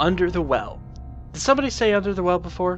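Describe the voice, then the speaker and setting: A man speaking, with music in the background. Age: adult. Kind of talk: video game commentary. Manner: excited, upbeat.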